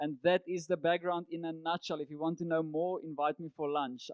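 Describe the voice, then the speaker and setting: A man with a fairly high pitch talks at a moderate pace in a monotone, flat intonation. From South Africa, Cape Town. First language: Afrikaans. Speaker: business coach and entrepreneur. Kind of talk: presentation talk.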